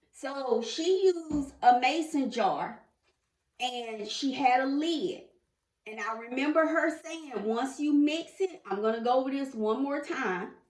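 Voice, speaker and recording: Audible room echo surrounds a voice that moves at a fairly slow pace with ordinary pitch variation. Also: woman, high pitch for a woman. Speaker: lifestyle vlogger. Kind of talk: tutorial. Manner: casual.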